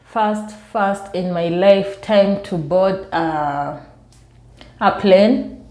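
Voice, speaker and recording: Audible room echo surrounds the voice. A woman speaks with ordinary pitch variation. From Kenya. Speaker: vlogger. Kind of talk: casual storytelling vlog. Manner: soft-spoken.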